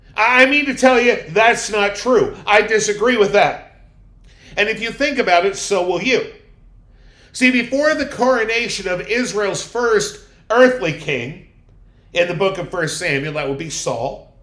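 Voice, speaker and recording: Against audible room echo, a man with a high voice talks fairly slowly, his tone bright and sharp and his intonation lively. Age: 60s. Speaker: pastor. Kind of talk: sermon.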